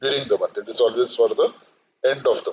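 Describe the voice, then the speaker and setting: A man with an Indian accent, speaking at a very fast pace. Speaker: finance lecturer. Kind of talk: lecture. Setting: live online session.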